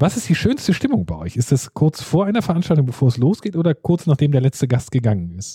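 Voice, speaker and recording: A man speaks at a very fast pace with hardly any pauses, his fairly high voice swinging very widely in pitch. The tone is dark and mellow, somewhat breathy, with a dry, close sound and no echo. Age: 40s. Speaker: podcast host. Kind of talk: interview.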